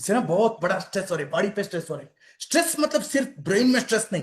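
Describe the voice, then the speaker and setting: A man with an animated tone and very wide pitch swings. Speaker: health and wellness speaker. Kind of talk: health talk to online audience. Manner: repetitive, animated.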